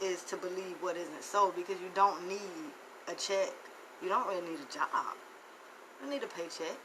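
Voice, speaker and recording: A woman with an American accent, medium pitch and an animated tone, over noticeable background noise. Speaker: financial motivational speaker. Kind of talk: live stream monologue.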